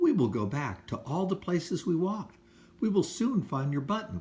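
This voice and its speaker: High-pitched put-on character voice from a man, delivered at a moderate speed. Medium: read story. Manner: calm, reassuring.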